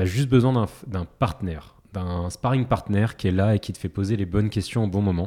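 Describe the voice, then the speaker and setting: A man talks at a moderate pace in a fairly low voice with a dark, mellow tone and ordinary pitch variation. The recording is very clean, with a silent background. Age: 30s. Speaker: startup founder and product manager. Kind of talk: interview.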